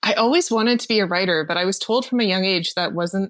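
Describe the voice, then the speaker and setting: A woman with a Canadian accent talks fairly quickly at a medium pitch. The recording is very clean with a silent background. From Ontario, Canada. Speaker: marketing expert and writer. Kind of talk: interview.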